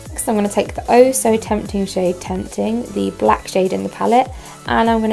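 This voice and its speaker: Music plays in the background. Over it, a woman talks in a southern English accent. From Hastings, England. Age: 20s. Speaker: makeup tutorial creator. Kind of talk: makeup tutorial narration.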